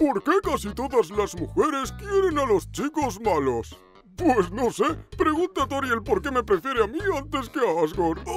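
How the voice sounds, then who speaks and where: A cartoonish character voice at a fairly high pitch and a moderate pace plays out over clear background music. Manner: laid-back, wry.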